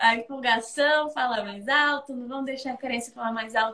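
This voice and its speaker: This woman uses a raised, projected voice with a high pitch. Her tone is bright and sharp. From Brazil, Espírito Santo. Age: 20s. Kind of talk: casual chat.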